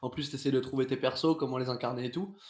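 At a very fast pace, a man talks with a medium-pitched voice. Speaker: theatre performer. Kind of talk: casual chat. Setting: live stream.

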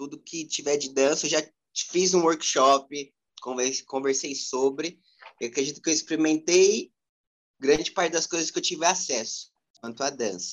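Speaking at a moderate pace, a man with a fairly high pitch leaves long, frequent pauses. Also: ordinary pitch variation. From São Paulo, Brazil (east side, near ABC Paulista). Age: 20s. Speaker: street dancer. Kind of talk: interview.

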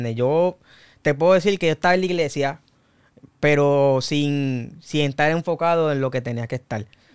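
Recorded very cleanly against a silent background, a man with a Puerto Rican accent speaks at a moderate pace, his fairly high pitch showing ordinary variation. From Puerto Rico, Canóvanas area. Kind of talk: casual interview, faith testimony.

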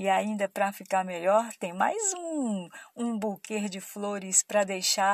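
In a Brazilian accent, a woman speaks with an animated, playful tone over a quiet background. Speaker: radio host. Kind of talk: radio promo patter, bubbly giveaway announcement. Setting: radio studio.

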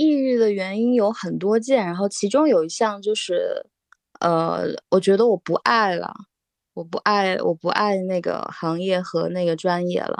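In a dry, close recording with no echo, a woman with an unremarkable speaking voice talks fairly slowly at a medium pitch with ordinary pitch variation. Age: 30s. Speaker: former architect now art student. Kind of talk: casual chat.

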